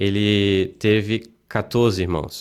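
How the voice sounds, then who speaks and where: A man's fairly low-pitched voice, a normal speaking voice, with fairly even intonation. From Blumenau, Santa Catarina, southern Brazil. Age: 30s. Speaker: city councillor. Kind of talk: casual interview chat.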